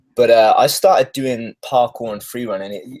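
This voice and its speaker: A man with a British accent speaks at a medium pitch with ordinary pitch variation. The sound is dry and close, with no echo. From UK. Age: 30s. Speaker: stuntman. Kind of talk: interview.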